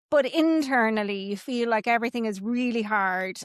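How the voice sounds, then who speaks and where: A woman speaks in an Irish accent at a fairly high pitch, with ordinary pitch variation. The sound is dry and close, with no echo. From Ireland, Kilkenny. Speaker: business coach. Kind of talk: podcast interview.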